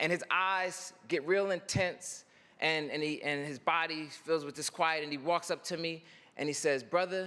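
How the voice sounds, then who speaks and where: In a raised, projected voice, a man speaks at a fairly slow pace with an animated, bright and sharp tone. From North Philadelphia, US. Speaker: poet and commencement speaker. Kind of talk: commencement speech with storytelling. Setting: stage with audience.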